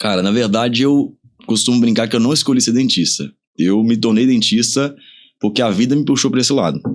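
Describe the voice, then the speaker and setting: Using a normal speaking voice, a man of medium pitch talks at a fairly quick pace with ordinary pitch variation and very even loudness. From interior of Pará, Brazil (until 15), then Minas Gerais. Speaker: dentist and clinic owner. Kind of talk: podcast interview.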